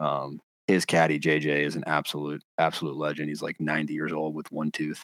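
A man talks at a fairly quick pace with a very deep, low pitch and monotone, flat intonation. The sound is dry and close, with no echo. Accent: American. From North Carolina. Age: 20s. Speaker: golf caddie and podcast host. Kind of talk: casual chat.

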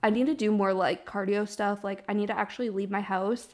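A woman speaks in a normal speaking voice at medium pitch and a moderate pace, with fairly even intonation, on a very clean recording with a silent background. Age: 20s. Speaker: podcast host. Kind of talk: casual chat.

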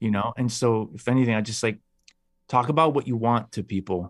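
In a very clean recording with a silent background, a man with a Chicago accent talks at a fairly quick pace, his medium-pitched voice showing ordinary pitch variation. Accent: Chicago American. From Chicago, US. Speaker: actor. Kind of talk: interview.

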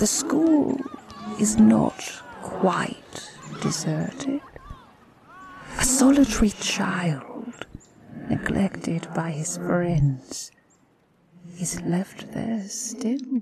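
A put-on character voice at middle pitch, very slow, with long, frequent pauses. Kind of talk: Victorian ghost-story drama. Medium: audio drama. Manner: solemn, measured, commanding.

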